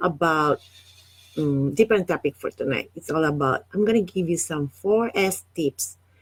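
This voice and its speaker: A woman with a non-native accent at a moderate pace, her intonation lively, in a dry, close sound with no echo. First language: not English. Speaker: online business coach. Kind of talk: live stream talk. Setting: Facebook live stream. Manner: halting, many fillers.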